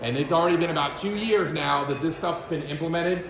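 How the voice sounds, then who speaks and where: Loud and energetic, a man speaks at a high pitch with ordinary pitch variation amid noticeable background noise and audible room echo. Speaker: title agent and real estate trainer. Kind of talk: presentation to realtors. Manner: fast, energetic.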